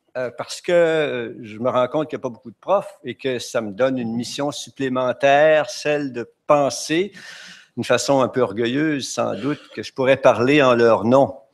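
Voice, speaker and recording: At a moderate pace, a man speaks with a Quebec accent. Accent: Québécois French. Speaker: retired teacher, conference speaker. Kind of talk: conference talk. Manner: halting, many hesitations.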